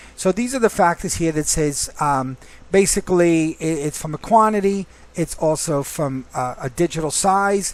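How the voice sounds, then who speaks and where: This man has a high voice. His pitch varies in an ordinary way. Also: moderate pace. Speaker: software trainer. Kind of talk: tutorial. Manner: casual.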